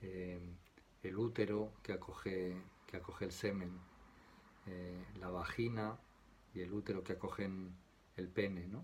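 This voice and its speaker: A soft-spoken man talks at a fairly slow pace in a very deep, low, somewhat breathy voice, leaving long, frequent pauses. His intonation is monotone and flat, and room echo is audible. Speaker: tarot teacher. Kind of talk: lecture. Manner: soft-spoken, quiet; halting, many fillers.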